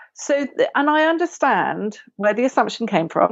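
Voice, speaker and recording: A woman with a southern English accent, fairly quick pace and very wide pitch swings. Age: 40s. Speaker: writer and photographer. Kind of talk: podcast interview.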